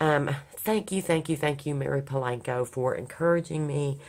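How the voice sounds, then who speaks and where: A woman talks at a moderate pace in a very deep, low pitch with ordinary pitch variation. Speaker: crafting YouTuber and nonprofit volunteer coordinator. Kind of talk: casual craft vlog. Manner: hesitant, many fillers.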